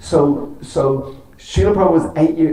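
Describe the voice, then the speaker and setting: A man speaks in a dark, mellow tone, somewhat breathy, at a moderate pace. Audible room echo surrounds the voice. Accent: Irish. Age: 60s. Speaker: temple speaker. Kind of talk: religious talk. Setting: temple with audience.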